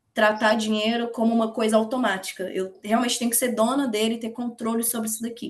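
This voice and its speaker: A woman is speaking with a Minas Gerais accent. Her pitch sits fairly high. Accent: Brazilian Portuguese, mineiro. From Minas Gerais, Brazil (Betim / Belo Horizonte). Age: 20s. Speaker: investment educator. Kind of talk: online open class, casual talk.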